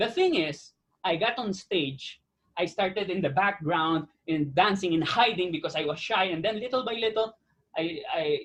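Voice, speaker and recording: Loud and animated, a man speaks in a high pitch. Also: ordinary pitch variation, moderate pace. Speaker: actor. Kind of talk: interview.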